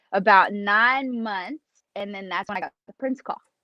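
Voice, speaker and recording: A woman's medium-pitched voice at a moderate pace, with a Kentucky accent. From Kentucky, US. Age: 30s. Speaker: drummer. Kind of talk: casual interview.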